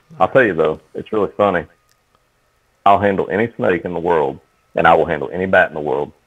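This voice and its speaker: With an Appalachian accent, a man with a very deep, low pitch speaks at a very fast pace but leaves long, frequent pauses. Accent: Appalachian Southern US. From Eastern Kentucky. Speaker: horror author and field biologist. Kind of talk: casual podcast chat.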